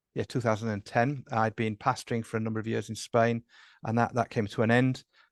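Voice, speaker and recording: With an English accent, a man speaks at a medium pitch in flat, monotone intonation, his sound dry and close with no echo against a quiet background. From England. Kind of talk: interview. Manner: hesitant, many fillers.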